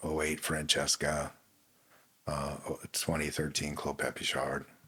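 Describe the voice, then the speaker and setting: A man's voice pairs a bright, sharp tone with very deep, low pitch, vocal fry and monotone, flat intonation. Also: fairly slow pace. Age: 60s. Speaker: winemaker. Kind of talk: casual chat.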